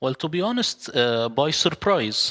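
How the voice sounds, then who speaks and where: With an Arabic accent and a bright, sharp tone, a man talks at a moderate pace. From Middle East. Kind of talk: interview.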